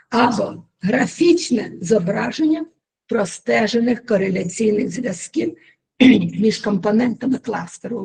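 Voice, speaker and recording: A woman puts on a hoarse character voice, fairly high in pitch, with lively intonation and a moderate pace. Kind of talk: formal, academic lecture.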